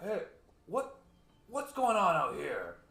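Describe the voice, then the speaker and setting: A man's put-on character voice, gruff, raised and projected, and extremely high in pitch. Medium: actual play. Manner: gruff, barking.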